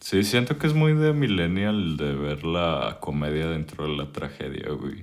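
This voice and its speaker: A man's very deep, low voice with a Mexican accent, fairly slow and with ordinary pitch variation. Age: 20s. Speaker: podcast host. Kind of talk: casual chat.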